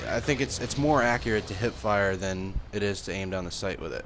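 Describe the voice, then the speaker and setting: A man mumbles at a very fast pace. His pitch is fairly low, with ordinary pitch variation. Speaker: gaming youtuber. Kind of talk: gameplay commentary. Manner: mumbling, rambling; casual, filler-heavy.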